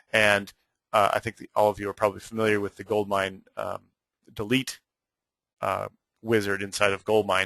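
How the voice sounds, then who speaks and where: A man's fairly low, bright and sharp voice in flat monotone, with long, frequent pauses, big swings in loudness, and a dry, close sound with no echo over a quiet background. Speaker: software trainer presenting a webinar. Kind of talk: webinar tutorial. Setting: online webinar. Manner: fast.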